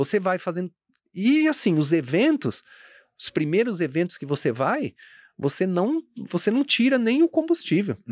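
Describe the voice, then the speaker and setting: A man's high voice with very wide pitch swings, dry with no echo, over a quiet background. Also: moderate pace. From Guarulhos, São Paulo state, Brazil; São Paulo state, Brazil. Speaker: fashion entrepreneur; podcast guest. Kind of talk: casual interview chat. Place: studio. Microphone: studio mic.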